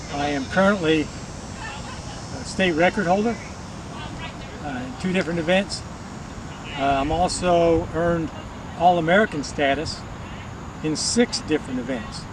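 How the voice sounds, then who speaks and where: Fairly slow pace with long, frequent pauses over noticeable background noise. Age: 70s. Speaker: senior track athlete. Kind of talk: interview testimonial.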